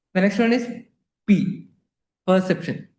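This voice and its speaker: Amid audible room echo, a man with a dark, mellow tone speaks at a moderate pace with ordinary pitch variation. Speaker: palliative care nurse educator. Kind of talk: lecture.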